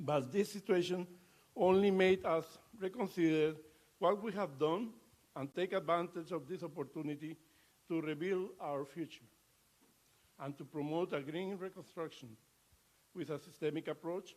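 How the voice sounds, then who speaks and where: With a Latin American accent, a man speaks at a high pitch and a moderate pace, using ordinary pitch variation and long, frequent pauses. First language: Spanish. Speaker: ambassador. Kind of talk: formal speech. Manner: halting.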